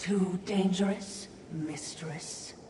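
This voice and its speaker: A female-sounding cartoonish character voice speaks at medium pitch. There is slight echo and clear background noise. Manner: dry, wry.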